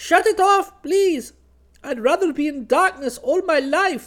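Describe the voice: Using a put-on character voice, a man speaks at a fairly slow pace with an extremely high pitch and lively intonation. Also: fairly bright tone.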